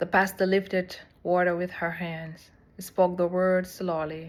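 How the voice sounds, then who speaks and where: A woman's fairly low voice with a South Sudanese accent. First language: Dinka. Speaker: seminary student. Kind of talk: personal reflection.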